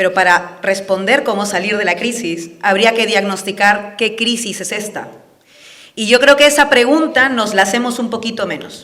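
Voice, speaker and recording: A woman speaks at a fairly high pitch with a passionate tone. Her pace is moderate and her pitch varies in an ordinary way. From Peru (Andean). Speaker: political speaker. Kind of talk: public talk. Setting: event with live audience.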